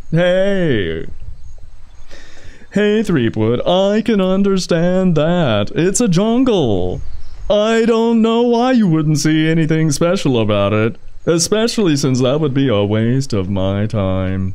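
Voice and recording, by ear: A man's put-on character voice, fairly high-pitched and fairly slow, over noticeable background noise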